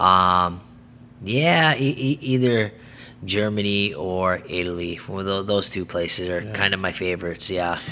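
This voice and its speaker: Music plays in the background as a man speaks at a fairly slow pace. His pitch is very deep and low, with ordinary variation. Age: 30s. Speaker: karate champion and instructor. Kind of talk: interview.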